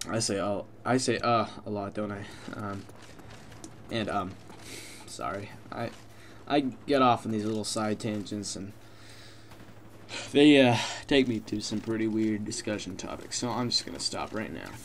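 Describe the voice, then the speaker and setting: Mumbling at a fairly low pitch, a man speaks with ordinary pitch variation and long, frequent pauses. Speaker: gaming commentator. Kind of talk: gameplay commentary. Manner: fast; mumbling, many fillers.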